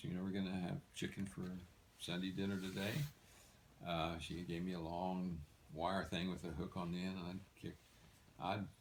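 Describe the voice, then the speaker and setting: A man with a very deep, low pitch and a relaxed tone. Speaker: retired physician and former soldier. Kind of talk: personal storytelling. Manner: relaxed, conversational.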